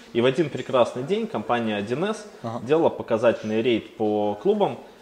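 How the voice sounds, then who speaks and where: This man has a normal speaking voice at a medium pitch. His intonation is lively. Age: 30s. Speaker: agency founder and business angel. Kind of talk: interview.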